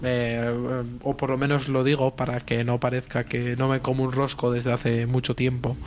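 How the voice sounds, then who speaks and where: A man is speaking. He keeps a moderate pace. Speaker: podcast co-host and player. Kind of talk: role-playing game.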